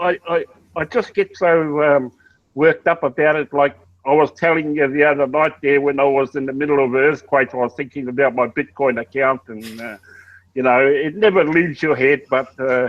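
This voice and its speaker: This man has an Australian accent. His voice sits at a fairly high pitch. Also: ordinary pitch variation, moderate pace. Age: 60s. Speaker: network marketing member. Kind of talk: casual chat. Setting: video call.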